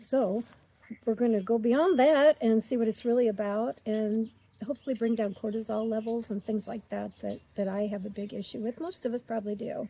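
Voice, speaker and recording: The voice is somewhat breathy, with ordinary pitch variation. It moves at a fairly quick pace. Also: woman, fairly high pitch for a woman. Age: 60s. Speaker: retiree vlogger. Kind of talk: casual chat. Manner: talkative.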